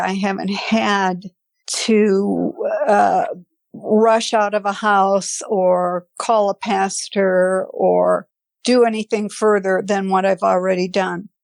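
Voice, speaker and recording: In an American accent, a woman speaks very slowly at a medium pitch, her intonation monotone and flat. Her loudness stays very even, and the sound is dry and close with no echo. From Wisconsin, Fond du Lac. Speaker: podcast guest sharing paranormal experience. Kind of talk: personal testimony.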